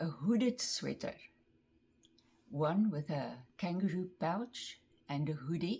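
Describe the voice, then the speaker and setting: A woman with a fairly low, somewhat breathy voice speaks at a very slow pace with long, frequent pauses and lively intonation. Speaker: craft vlogger. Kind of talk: casual show-and-tell vlog.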